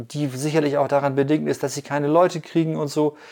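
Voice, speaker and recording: A man's fairly high voice in a monotone, flat delivery, on a very clean recording with a silent background. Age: 50s. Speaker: podcast host and bike commuter. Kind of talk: casual interview. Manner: hesitant with many fillers.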